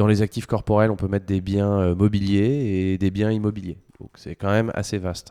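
With a dark, mellow tone and a fairly low pitch, a man speaks in a monotone, flat intonation at a moderate pace, his loudness swinging widely on a very clean recording with a silent background. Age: 30s. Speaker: fintech co-founder, lawyer by training. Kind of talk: interview. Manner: hesitant, many fillers.

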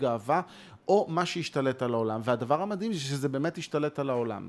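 A man talks at a very fast pace and a medium pitch. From Israel, Ramat Gan. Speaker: composer and conductor. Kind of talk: conversation. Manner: animated.

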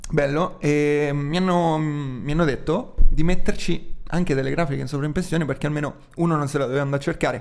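Very fast speech from a man, fairly high in pitch and fairly even in intonation. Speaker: podcast co-host. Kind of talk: casual banter podcast chat.

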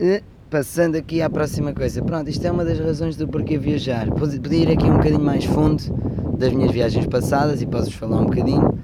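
A man's fairly high voice at a fairly quick pace, with audible room echo and noticeable background noise. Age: 20s. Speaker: travel podcaster. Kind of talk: casual monologue. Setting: outdoors under a sunshade. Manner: animated.

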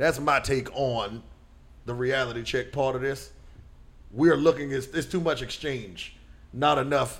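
A man talks at a medium pitch and a moderate pace. His pitch variation is ordinary. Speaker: podcast host. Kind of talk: casual banter podcast.

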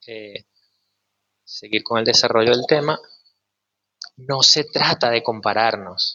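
Speaking at a fairly slow pace, a man with a medium pitch uses ordinary pitch variation. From Venezuela, Maracay. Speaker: sound healer, former actor. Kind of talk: casual chat.

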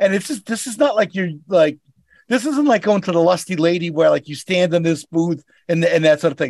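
A man speaks with a Boston accent, his voice pitched high. He talks at a fairly quick pace with lively intonation. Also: dry, close sound with no echo. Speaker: rideshare driver. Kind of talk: casual chat.

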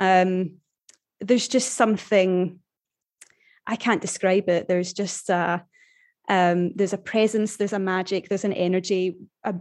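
The speaker has a Glaswegian accent and fairly even intonation. The background is quiet. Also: woman. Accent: Glaswegian Scottish. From Scotland, Glasgow area. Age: 30s. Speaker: human resources professional. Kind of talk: casual interview chat.

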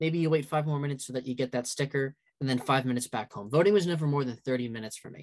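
This man speaks in an ordinary speaking voice with an American accent. His pitch is fairly high, with ordinary variation. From downstate New York. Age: 20s. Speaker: student organizer. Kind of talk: interview.

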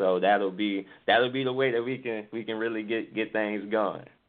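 A man speaks in a normal speaking voice with an American accent at a medium pitch. His pace is moderate and his intonation fairly even. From New Orleans, US South. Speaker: singer-songwriter. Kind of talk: interview.

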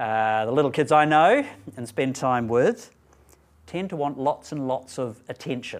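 A man's plain, everyday voice, fairly high in pitch, with ordinary pitch variation and a fairly slow pace. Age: 50s. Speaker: preacher. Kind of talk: sermon.

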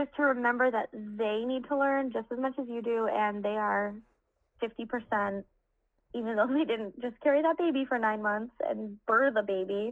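This is a woman with an ordinary speaking voice, fairly high in pitch and fairly even in intonation. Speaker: mother of three. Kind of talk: casual chat.

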